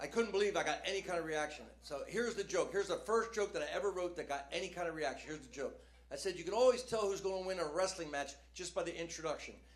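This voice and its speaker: A man speaks very fast in an American accent, his pitch high and his tone animated, with hardly any pauses. Audible room echo and noticeable background noise surround him. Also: ordinary pitch variation. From New Jersey. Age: 60s. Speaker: stand-up comedian. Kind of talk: stand-up. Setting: stage with audience.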